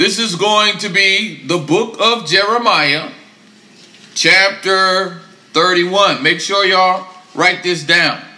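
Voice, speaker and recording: Speaking very slowly, a man uses a raised, projected voice pitched high for a man. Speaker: religious class teacher. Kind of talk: sermon. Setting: class with live audience. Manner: animated.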